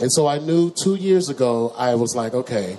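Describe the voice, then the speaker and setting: The speaker has an American accent, heard over noticeable background noise. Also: man. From Texas, Dallas (Oak Cliff). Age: 40s. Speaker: talk show host and musician. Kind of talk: live comedic talk show monologue. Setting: bar stage with live audience. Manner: animated.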